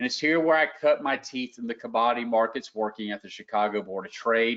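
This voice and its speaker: Speaking at a fairly quick pace with a Southern US accent, a man uses a medium pitch and ordinary pitch variation. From US South, Lower Alabama. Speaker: trading educator. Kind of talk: live webinar presentation. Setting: online webinar. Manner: casual.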